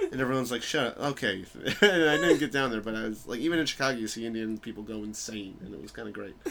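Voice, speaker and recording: At a very fast pace, a man with an American accent and a medium pitch talks over noticeable background noise. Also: lively intonation. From New York. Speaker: stand-up comedian. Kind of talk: casual chat. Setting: home recording.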